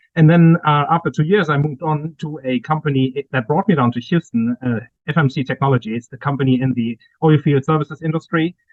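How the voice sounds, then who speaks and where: This man has a German accent and a fairly high pitch with ordinary variation. He talks at a fairly quick pace. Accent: German accent, lasting. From Germany. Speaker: cyber security executive and author. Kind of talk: interview.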